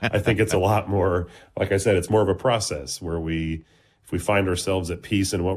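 The voice moves at a fairly quick pace and is somewhat breathy. Its intonation stays fairly even. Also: man, quiet background. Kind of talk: casual chat.

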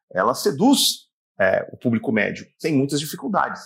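In a very clean recording with a silent background, a man is talking. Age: 40s. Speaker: sports commentator. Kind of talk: interview.

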